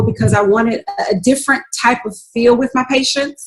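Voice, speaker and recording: Speaking with a Southern US accent, a woman keeps a moderate pace. Her pitch is high and her intonation fairly even. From North Carolina, US South (Raleigh-Durham). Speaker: registered nurse and business owner. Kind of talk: interview.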